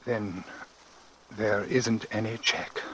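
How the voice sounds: Using a put-on character voice, a man speaks slowly at a fairly low pitch, his tone bright and sharp with a slightly husky edge and fairly even intonation.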